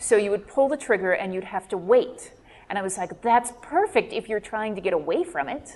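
A woman's normal speaking voice, fairly high-pitched, with lively intonation and a fairly quick pace. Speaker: podcast co-host and author. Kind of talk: live panel discussion.

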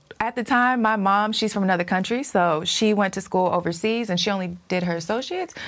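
Fairly quick and medium in pitch, a woman's plain, everyday voice carries ordinary pitch variation. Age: 30s. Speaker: financial coach. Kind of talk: casual interview chat.

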